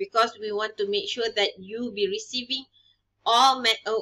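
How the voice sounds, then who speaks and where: Over a quiet background, a woman speaks in a fairly high pitch. Her tone is bright and sharp. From Malaysia. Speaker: university lecturer. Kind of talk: lecture. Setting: recorded online video lesson. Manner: code-switching English and Malay. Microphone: webcam.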